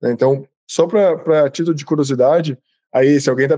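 A man's fairly high voice with a dark, mellow tone and fairly even intonation, at a moderate pace against a quiet background. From Jundiaí, São Paulo, Brazil. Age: 30s. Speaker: information security expert and company founder. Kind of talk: online talk with audience interaction. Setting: video call. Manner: informal, conversational. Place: home room. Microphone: webcam.

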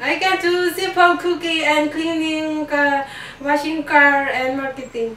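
A woman talks in a raised, projected voice at a fairly slow pace. The room echo is audible. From Philippines, Isabela province. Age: 20s. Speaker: domestic helper job applicant. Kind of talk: job interview. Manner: formal. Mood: polite, smiling, earnest. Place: empty room.

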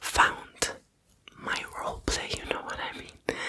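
A woman whispering at a very slow pace. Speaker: ASMR content creator. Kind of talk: casual Q&A chat. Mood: a bit foggy, apologetic. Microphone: studio mic.

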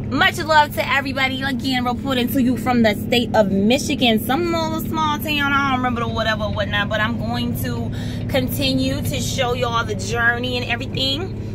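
Loud background noise surrounds a woman talking at a fairly quick pace. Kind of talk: casual vlog chat. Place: car.

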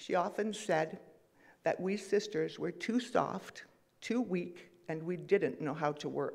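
A woman with a fairly low pitch speaks at a very slow pace over a quiet background. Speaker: speaker. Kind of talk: eulogy remembrance. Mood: warm, fond, lightly humorous. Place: church.

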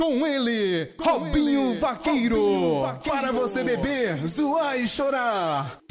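Over background music, a man with an extremely high pitch and an energetic, upbeat tone speaks at a fairly slow pace with very wide pitch swings, very even loudness and hardly any pauses. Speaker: voice-over announcer. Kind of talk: event promo ad read, radio-style announcement. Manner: energetic, loud, upbeat.

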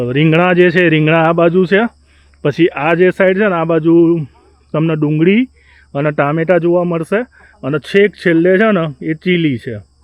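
This man has a plain, everyday voice. It sits fairly high in pitch, with ordinary pitch variation. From Gujarat, India (Ahmedabad). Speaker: vlogger. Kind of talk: casual vlog narration. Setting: outdoors on a farm.

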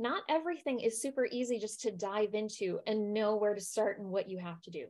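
A woman speaks with ordinary pitch variation and big swings in loudness. The background is quiet. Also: fairly quick pace. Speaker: wellbeing coach. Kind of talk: lecture. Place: home room.

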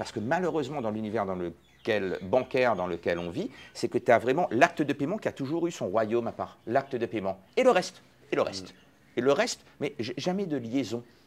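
Speaking at a moderate pace, a man with a medium pitch moves through very wide pitch swings. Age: 40s. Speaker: fintech entrepreneur. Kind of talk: interview.

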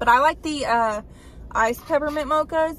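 A woman speaks over light background noise. The sound is dry with no echo, and her intonation stays fairly even. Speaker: vlogger. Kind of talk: casual vlog chat. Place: car. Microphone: phone near.

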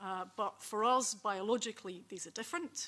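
A woman speaks with ordinary pitch variation. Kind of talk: panel presentation. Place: meeting room. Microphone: podium.

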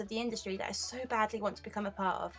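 Music plays in the background as a woman talks. She speaks very fast at a fairly high pitch. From United Kingdom. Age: 20s. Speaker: cosplayer and makeup artist. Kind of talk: voice-over narration.

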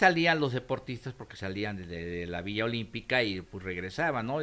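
This man speaks with a fairly low pitch, a bright, sharp tone and lively intonation. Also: very clean recording, silent background. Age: 60s. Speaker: former Olympic volunteer. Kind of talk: interview.

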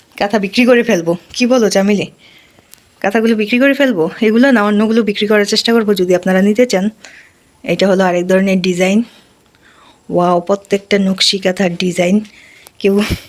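Her voice sits at a medium pitch, and this woman sounds animated while keeping her loudness very even. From Bangladesh, Barisal region. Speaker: village life vlogger. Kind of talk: casual product showcase vlog. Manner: animated, exclamatory.

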